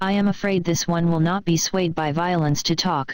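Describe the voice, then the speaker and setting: This is a put-on character voice at a middle pitch. It moves along at a moderate pace. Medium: read story. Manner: imperious, cold.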